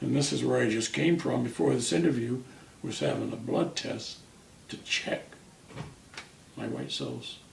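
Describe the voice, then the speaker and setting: A man at a moderate pace with long, frequent pauses, noticeable background noise and audible room echo. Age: 70s. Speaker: cancer patient. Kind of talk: interview.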